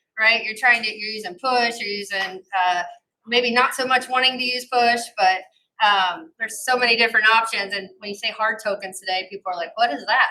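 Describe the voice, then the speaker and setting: A woman with an American accent speaks at a fairly quick pace and a fairly high pitch with ordinary pitch variation. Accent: slight twang from Ohio and Arkansas. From US Midwest, Ohio. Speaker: corporate security executive. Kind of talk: panel discussion.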